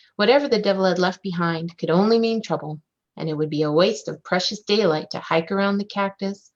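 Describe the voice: Quiet background under plain reading aloud, pitch varying in an ordinary way.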